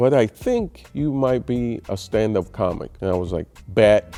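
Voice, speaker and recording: With music playing in the background, a man talks using ordinary pitch variation. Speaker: stand-up comedian. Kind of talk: interview answer.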